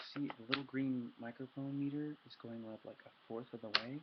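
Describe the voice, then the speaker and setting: A man talks in a normal speaking voice at a medium pitch and a moderate pace. His intonation stays fairly even. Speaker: ASMR youtuber. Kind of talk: casual ASMR intro talk. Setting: webcam recording at home at midnight. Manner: soft-spoken.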